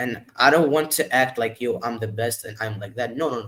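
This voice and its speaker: Speaking with a non-native accent, a man shows ordinary pitch variation. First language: not English. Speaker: music artist. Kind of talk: interview. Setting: live stream. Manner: halting.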